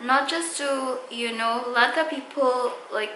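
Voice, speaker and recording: A woman's raised, projected voice, high in pitch with ordinary pitch variation, with audible room echo. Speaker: beauty vlogger. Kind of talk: casual vlog talk to camera. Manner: slow; halting, many fillers.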